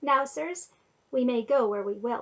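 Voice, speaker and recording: In a put-on character voice, a woman speaks at a high pitch and a moderate pace. Her pitch swings very widely. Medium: read story. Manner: haughty, imperious.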